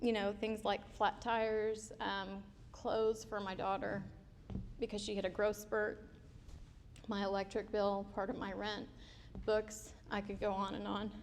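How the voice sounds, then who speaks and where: Speaking at a fairly slow pace with long, frequent pauses, a woman keeps a flat, monotone delivery at medium pitch while the room echo is audible. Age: 30s. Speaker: scholarship recipient, student. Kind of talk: testimony. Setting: stage with audience.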